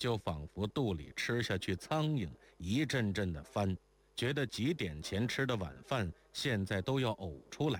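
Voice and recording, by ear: A passage is being read aloud. The voice used is natural.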